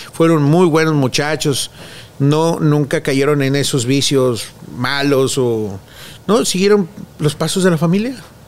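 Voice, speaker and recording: With a Mexican accent, a man talks at a very slow pace. His pitch is fairly high and varies in an ordinary way. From Mexico. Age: 40s. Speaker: children's clown. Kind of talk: interview.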